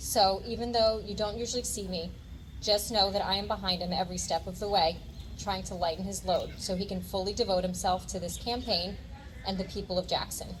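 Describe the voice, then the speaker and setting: Room echo is audible as the speaker moves along at a fairly quick pace. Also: woman. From New Jersey (Ocean County). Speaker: candidate's wife. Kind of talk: prepared speech at rally.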